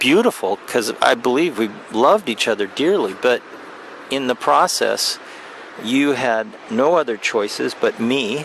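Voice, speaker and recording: A man's fairly slow, medium-pitched speech with lively intonation, over noticeable background noise. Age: 60s. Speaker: vlogger. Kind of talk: personal video message. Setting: outdoors. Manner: halting.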